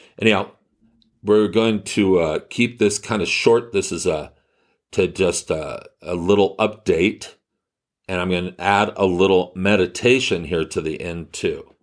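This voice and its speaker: A man speaks in a plain, everyday voice at a fairly slow pace, his fairly low pitch held in fairly even intonation. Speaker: healer and spiritual podcast host. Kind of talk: guided meditation; spiritual talk or monologue. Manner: slow, calm, soothing, gently instructive.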